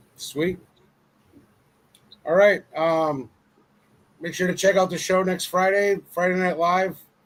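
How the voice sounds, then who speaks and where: The voice is loud and moves at a very slow pace with fairly even intonation. Long pauses break it up often. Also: man, high pitch for a man. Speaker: comic book show host. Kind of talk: casual chat.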